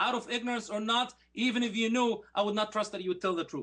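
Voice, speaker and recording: Speaking with an Arabic accent, a man uses a bright, sharp tone at a high pitch with ordinary pitch variation. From Egypt (Alexandria). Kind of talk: formal debate rebuttal. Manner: animated.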